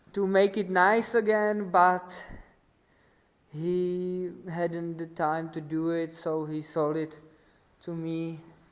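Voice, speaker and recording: A woman with a non-native accent speaks very slowly, with long, frequent pauses, fairly even intonation and a fairly low pitch. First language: not English. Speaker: motorcycle mechanic vlogger. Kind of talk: tutorial. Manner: halting.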